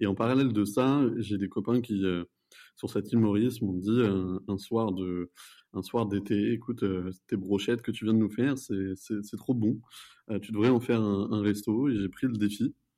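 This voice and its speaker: Over a quiet background, a man speaks with fairly even intonation in a fairly low, dark and mellow voice. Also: moderate pace. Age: 20s. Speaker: entrepreneur coach. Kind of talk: casual chat.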